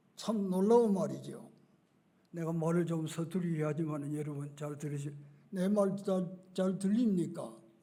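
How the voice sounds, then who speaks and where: A man talks at a fairly slow pace in a high pitch with ordinary pitch variation. Audible room echo fills the recording. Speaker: retired pastor. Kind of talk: sermon. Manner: halting.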